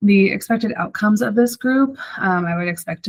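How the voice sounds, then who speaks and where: Her voice is somewhat breathy, with lively intonation. The woman moves at a fairly quick pace. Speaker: social work student. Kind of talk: class presentation. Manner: fast; animated.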